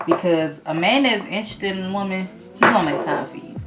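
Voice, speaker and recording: The speaker has an American accent and a moderate pace. Background noise is noticeable. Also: woman. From Georgia, USA. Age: 20s. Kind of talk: casual talk to camera. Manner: chatty, conversational.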